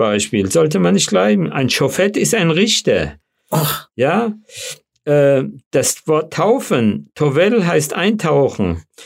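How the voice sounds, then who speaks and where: A man's fairly high voice with a slight Hessian accent, very wide pitch swings, very even loudness and a very slow pace. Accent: slight Hessian colouring. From Frankfurt, Hesse (childhood in DP camp near Munich). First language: Yiddish (speaking German). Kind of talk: interview. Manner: hesitant with fillers.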